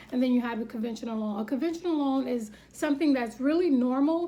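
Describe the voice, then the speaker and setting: A woman talks at a high pitch and a fairly quick pace, with ordinary pitch variation. Noticeable background noise sits behind her. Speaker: vlogger giving home-buying advice. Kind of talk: tutorial. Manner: fast; forceful.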